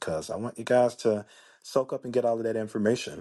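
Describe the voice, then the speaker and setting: A man's medium-pitched voice at a fairly quick pace over a quiet background. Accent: Memphis. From US South, Memphis, Tennessee. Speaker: life coach podcaster. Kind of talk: casual podcast monologue. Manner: animated, conversational.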